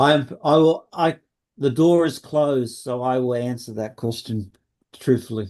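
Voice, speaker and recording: With an Australian accent, a man speaks at a moderate pace and medium pitch with ordinary pitch variation. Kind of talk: webinar talk and Q&A.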